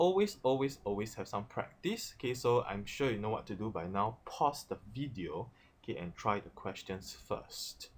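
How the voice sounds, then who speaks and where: Recorded very cleanly with a silent background, a man's somewhat breathy voice moves through very wide pitch swings. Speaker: chemistry teacher. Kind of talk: tutorial. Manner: fast; frequent fillers, repeated 'okay'.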